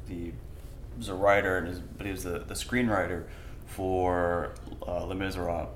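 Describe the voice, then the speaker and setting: Noticeable background noise and audible room echo surround a man whose very deep, low voice moves at a fairly quick pace. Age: 20s. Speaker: podcast host. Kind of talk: casual interview chat. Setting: art gallery studio.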